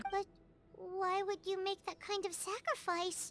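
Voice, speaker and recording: The speaker uses a put-on character voice at an extremely high pitch. The pace is moderate. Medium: video game. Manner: inquisitive.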